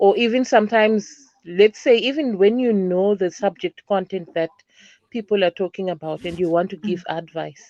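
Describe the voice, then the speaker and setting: Dry and close with no echo, a woman's voice sits at a medium pitch, with ordinary pitch variation, a dark, mellow tone and a moderate pace. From Zimbabwe. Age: 30s. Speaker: teacher. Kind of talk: interview answer.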